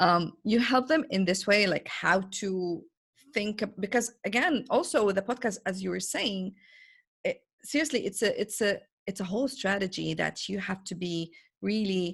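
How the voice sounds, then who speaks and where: Recorded very cleanly against a silent background, a woman with an Arabic accent speaks in a somewhat breathy voice at medium pitch, moderate pace, and ordinary pitch variation. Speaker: podcast host, business coach. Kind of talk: interview. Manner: hesitant, searching for words.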